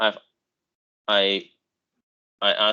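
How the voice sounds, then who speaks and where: This voice belongs to a man. He speaks with a Chinese accent. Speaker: university lecturer. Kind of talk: lecture. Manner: halting.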